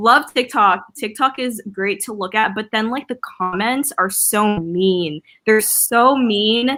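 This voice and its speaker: A woman speaks at a very slow pace with a West Coast accent, barely pausing at all. Her pitch sits fairly high, and her tone is bright and sharp. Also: ordinary pitch variation. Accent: American English, West Coast. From Philippines. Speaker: artist and influencer. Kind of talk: casual interview chat. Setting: video call livestream. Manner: casual, filler-heavy ('like', 'um').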